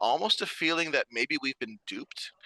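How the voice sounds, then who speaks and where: A man's bright, sharp voice comes through dry and close with no echo against a quiet background. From Vancouver Island, Canada (Nanaimo). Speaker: theatre producer. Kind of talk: radio interview.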